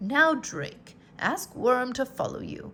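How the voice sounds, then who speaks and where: A woman's put-on character voice, high-pitched and fairly slow. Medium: read story. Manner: calm, encouraging.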